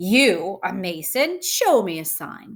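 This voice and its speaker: A woman's growling, put-on character voice at medium pitch and a fairly slow pace. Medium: read story.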